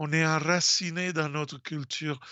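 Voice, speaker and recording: The speaker talks at a very slow pace with a strong Italian accent. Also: man. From Italy. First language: Italian (speaking French). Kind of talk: radio talk. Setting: radio studio. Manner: halting, many hesitations.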